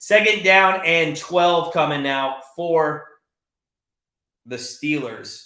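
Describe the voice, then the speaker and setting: A man with a high pitch and a bright, sharp, animated tone speaks with long, frequent pauses in audible room echo. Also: ordinary pitch variation. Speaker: sports betting channel host. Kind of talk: live play-by-play commentary on a watch party stream. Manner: fast.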